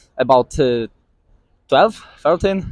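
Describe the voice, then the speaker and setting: A man speaking over music in the background. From Poland. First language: Polish. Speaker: street interviewee. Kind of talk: street interview. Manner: halting.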